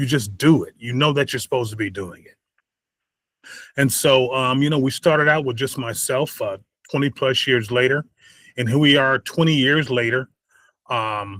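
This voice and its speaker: With an American accent, a man at medium pitch and ordinary pitch variation speaks with long, frequent pauses, the sound dry and close with no echo and the recording very clean over a silent background. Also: moderate pace, big swings in loudness. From California, Bakersfield. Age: 60s. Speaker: founder of a fatherhood program. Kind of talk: interview conversation. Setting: podcast.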